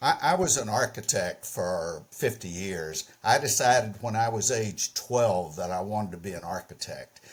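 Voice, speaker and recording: A moderate pace with hardly any pauses, lively intonation and a Southern US accent. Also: man, fairly low pitch for a man. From US South, Mississippi. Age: 80s+. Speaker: painter. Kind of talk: interview. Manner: halting, repeats words.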